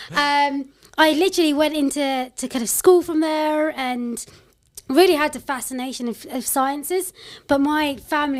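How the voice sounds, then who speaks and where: With a London accent and a high pitch, a woman speaks at a moderate pace with ordinary pitch variation, captured in a very clean recording with a silent background. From London, England. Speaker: tech company CEO and founder. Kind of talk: podcast interview. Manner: casual, conversational.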